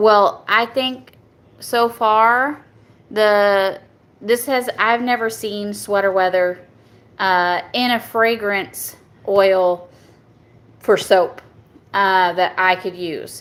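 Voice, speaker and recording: With a strong Southern US accent, a woman speaks very slowly at a medium pitch with fairly even intonation. Long, frequent pauses break up her speech, and the recording is very clean with a silent background. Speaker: soap maker. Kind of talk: product review. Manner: halting, stumbles over words.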